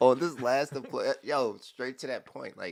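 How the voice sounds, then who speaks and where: On a very clean recording with a silent background, a man with a Southern US accent speaks at a moderate pace. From Southern Maryland. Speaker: podcast host, Coast Guard member. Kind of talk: casual chat. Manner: animated.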